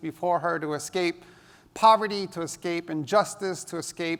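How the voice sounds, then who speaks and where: A man with a New York accent speaks in a high pitch. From New York City (Hell's Kitchen), US. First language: Spanish. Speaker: education technology speaker. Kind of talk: conference talk.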